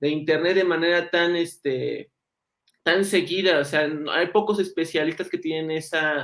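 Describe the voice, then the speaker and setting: Speaking at a fairly slow pace, the man has a high pitch. His intonation is monotone and flat. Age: young. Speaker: journalist and interviewer. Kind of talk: interview. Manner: halting.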